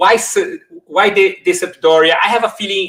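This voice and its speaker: A man's bright, sharp tone at a moderate pace. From Brazil. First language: Portuguese. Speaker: YouTube host, football shirt collector. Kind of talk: casual chat. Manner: animated.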